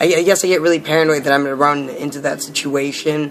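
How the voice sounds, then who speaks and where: With noticeable background noise behind him, a man speaks at a fairly high pitch in a monotone, flat way. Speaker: vlogger documenting gender transition. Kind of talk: personal vlog. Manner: halting, many fillers.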